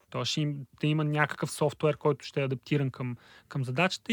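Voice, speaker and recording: With a dry, close sound, no echo and a silent background on a very clean recording, a man talks at a fairly high pitch with fairly even intonation. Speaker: data and text analysis specialist. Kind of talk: casual chat.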